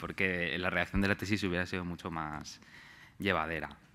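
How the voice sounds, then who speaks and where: Using a bright, sharp tone, a man moves at a fairly quick pace with fairly even intonation. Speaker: researcher; speaker. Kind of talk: conference talk. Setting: stage with audience. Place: hall. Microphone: podium.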